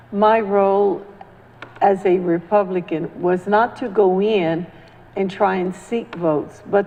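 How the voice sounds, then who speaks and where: Against noticeable background noise, a woman at medium pitch talks at a very slow pace with fairly even intonation. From Central America. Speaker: community activist. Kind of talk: panel discussion.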